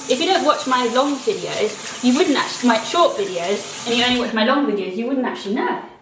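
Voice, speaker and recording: With a British accent, a woman speaks at a high pitch with very wide pitch swings, over noticeable background noise and audible room echo. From UK. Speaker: vlogger and actor. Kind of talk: casual vlog chat.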